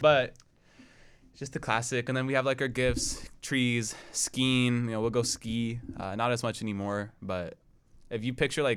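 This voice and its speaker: Speaking with an American accent in an unremarkable speaking voice, a man at a medium pitch goes at a moderate pace, with big swings in loudness. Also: very clean recording, silent background. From Portland, Oregon. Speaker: college student podcast host. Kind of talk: casual chat.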